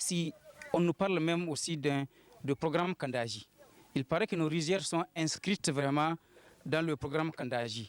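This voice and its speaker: Pausing long and often, a man speaks at a moderate pace in a fairly high pitch with ordinary pitch variation and very even loudness, in a dry, close sound with no echo. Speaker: villager interviewed. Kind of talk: news interview. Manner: halting.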